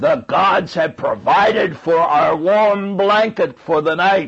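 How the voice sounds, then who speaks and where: A man's put-on character voice, high-pitched and fairly slow. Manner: triumphant, gloating.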